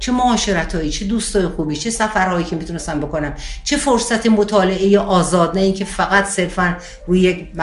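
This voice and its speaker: There is audible room echo and noticeable background noise around this woman. She speaks at a fairly quick pace and medium pitch, with ordinary pitch variation. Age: 60s. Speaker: spiritual teacher. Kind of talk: interview.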